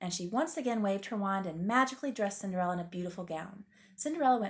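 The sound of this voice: The voice reads in an unforced way.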